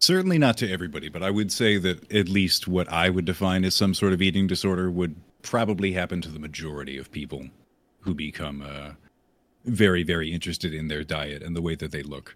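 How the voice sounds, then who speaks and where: A very deep, low-pitched man at a very fast pace, with ordinary pitch variation, big swings in loudness, and a very clean recording with a silent background. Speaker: streamer. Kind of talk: casual chat.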